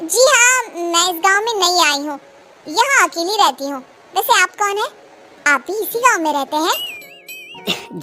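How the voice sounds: Using a cartoonish character voice, a woman speaks at an extremely high pitch. Her pace is moderate.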